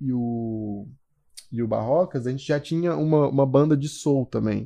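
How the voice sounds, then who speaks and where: Lively intonation shapes a voice with a dark, mellow tone. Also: man. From Goiânia, Brazil. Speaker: musician and graphic designer. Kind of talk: casual chat.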